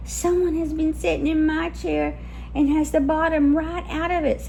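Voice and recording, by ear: A woman's squeaky, put-on character voice at a moderate pace, over clear background noise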